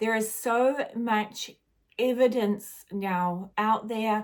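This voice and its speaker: Very slowly, a woman with a New Zealand accent speaks at a fairly high pitch in a monotone, flat intonation. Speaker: spiritual guide. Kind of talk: casual spiritual monologue.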